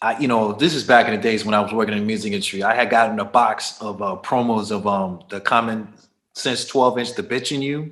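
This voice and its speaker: A man with an unremarkable speaking voice talks at a fairly quick pace. His pitch sits in the medium range. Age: 50s. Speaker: DJ and music producer. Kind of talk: casual interview.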